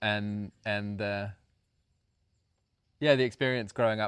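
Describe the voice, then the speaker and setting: Fairly even intonation in a man's fairly low voice, captured on a very clean recording with a silent background. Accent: New Zealand. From rural New Zealand. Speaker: co-founder of a community house, podcast co-host. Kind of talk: casual chat.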